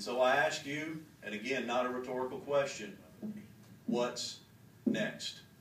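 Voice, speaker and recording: Against noticeable background noise, a man of medium pitch with an American accent speaks fairly slowly, with long, frequent pauses and ordinary pitch variation. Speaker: auctioneer, association president. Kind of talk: acceptance speech to an audience. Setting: large room, live event.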